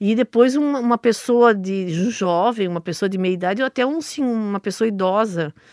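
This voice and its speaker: The sound is dry and close with no echo, against a quiet background. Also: woman. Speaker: stage actress. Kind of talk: radio interview.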